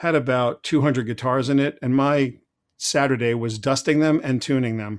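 With an American accent and a normal speaking voice, a man talks at medium pitch and a moderate pace, his intonation fairly even, in a very clean recording with a silent background. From Long Island, New York. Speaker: technology consultant. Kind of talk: interview.

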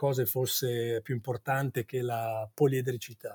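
Dry and close with no echo, a man's somewhat breathy voice has a dark, mellow tone. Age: 50s. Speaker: advertising executive and singer-songwriter. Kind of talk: interview. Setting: office. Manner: halting.

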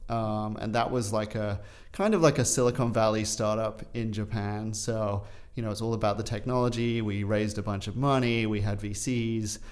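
A man with a fairly low pitch talks in a monotone, flat intonation amid audible room echo. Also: moderate pace. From England and Australia, British parents. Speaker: urban farm founder. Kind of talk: interview. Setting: studio.

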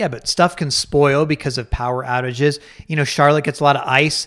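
A man with an American accent talks at a fairly quick pace and a fairly high pitch. The recording is very clean with a silent background. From Colorado. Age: 40s. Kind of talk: casual chat.

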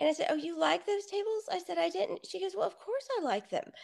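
A speaker with an American accent talks at a fairly quick pace. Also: woman. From Texas, Lytle. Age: 40s. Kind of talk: casual chat.

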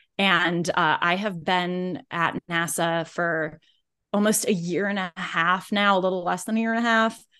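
Using an ordinary speaking voice, a woman with an American accent talks at a fairly slow pace, with a medium pitch and fairly even intonation. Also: quiet background. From US Midwest, Indianapolis. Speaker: aerospace engineer. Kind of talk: casual interview.

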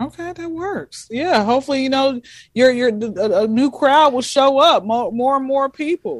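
Speaking in a high pitch with an American accent, a woman uses lively intonation. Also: moderate pace. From US South, Atlanta. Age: 20s. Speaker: comedian. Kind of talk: casual chat. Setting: video call.

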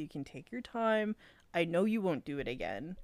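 A woman's medium pitch and a plain, everyday voice, with ordinary pitch variation. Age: 20s. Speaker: podcast co-host. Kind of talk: casual chat, retelling a fanfiction story.

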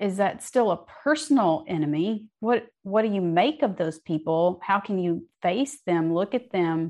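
A woman with an American accent, medium pitch, very wide pitch swings, a dark, mellow tone, a fairly slow pace and hardly any pauses, against a quiet background. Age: 50s. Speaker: novelist. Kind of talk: interview.

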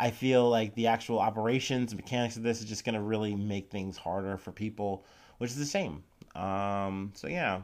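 A man with an Ohio accent, fairly low pitch and ordinary pitch variation, at a moderate pace in a very clean recording with a silent background. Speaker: news podcast host. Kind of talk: casual news commentary. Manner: casual, many fillers.

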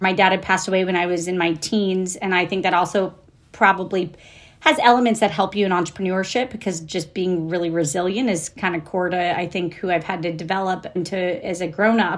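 In a plain, everyday voice with an American accent, the speaker talks at a fairly quick pace with fairly even intonation. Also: woman, medium pitch for a woman. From Florida, US South. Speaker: entrepreneur and investor. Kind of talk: interview.

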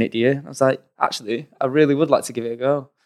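A man with an English accent talks at a very fast pace on a very clean recording with a silent background. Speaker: combat sports commentator. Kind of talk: casual chat.

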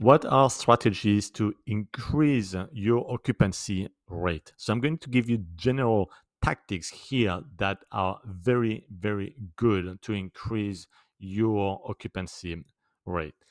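Recorded very cleanly with a silent background, a man with a French accent speaks at a fairly low pitch and a very slow pace, the sound dry and close with no echo. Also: ordinary pitch variation. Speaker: short-term rental expert / podcast host. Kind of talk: tutorial / advice monologue.

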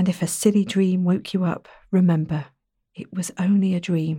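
A woman at medium pitch speaks in a soothing, gentle tone that is dark, mellow and somewhat breathy, with monotone, flat intonation. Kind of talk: guided meditation. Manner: soft, slow, soothing and gentle, with calm reassuring pacing and pauses; warm, simple child-friendly phrasing, coaxing.

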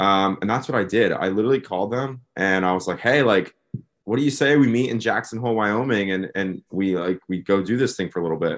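A plain, everyday voice: a man with an American accent, fairly low pitch, ordinary pitch variation and a fairly quick pace against a quiet background. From US Northeast, Philadelphia area. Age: 20s. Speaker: van-life traveler. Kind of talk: casual chat.

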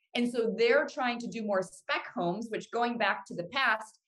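In an American accent, a woman with an ordinary speaking voice talks at a moderate pace in a fairly high pitch. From Cleveland, Ohio. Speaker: housing economist. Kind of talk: casual interview.

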